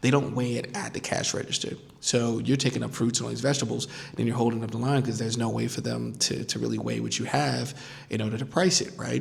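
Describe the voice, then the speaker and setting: With an American accent, a man talks amid noticeable background noise, and room echo can be heard. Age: 40s. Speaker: podcast host, life design consultant. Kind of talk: casual vlog monologue. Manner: conversational, many fillers and repetitions.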